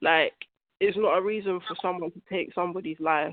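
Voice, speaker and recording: A woman with a London accent at medium pitch, moderate pace and fairly even intonation. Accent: London English, multicultural London. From South London. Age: 20s. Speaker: young mother. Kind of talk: interview. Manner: conversational, uses 'like' often.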